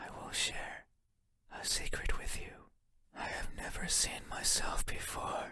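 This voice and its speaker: A man's raspy, put-on character voice, pitched extremely high and delivered at a fairly slow pace. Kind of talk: horror game monologue. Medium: game voice lines. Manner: soft-spoken, slow.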